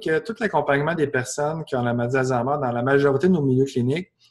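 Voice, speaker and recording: With a strong Quebec accent, a man speaks with ordinary pitch variation. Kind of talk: webinar Q&A.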